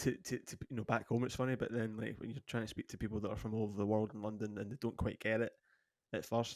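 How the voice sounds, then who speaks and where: In a dry, close sound with no echo, a man with a fairly low pitch talks at a very fast pace in a monotone, flat intonation. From Scotland. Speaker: podcast co-host, former musician and model. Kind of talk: casual chat.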